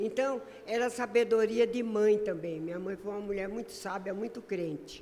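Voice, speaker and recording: A woman's fairly high voice at a moderate pace with ordinary pitch variation, amid noticeable background noise and audible room echo. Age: 80s+. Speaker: lay preacher. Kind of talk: sermon.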